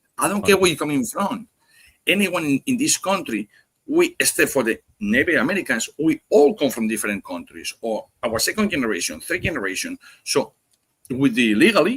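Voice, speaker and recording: Strong Spanish accent, fairly quick pace and very wide pitch swings, in a dry, close sound with no echo. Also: man, high pitch for a man. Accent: heavy Spanish. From Spain. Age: 50s. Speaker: cigar podcast guest. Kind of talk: casual chat. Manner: fast; animated.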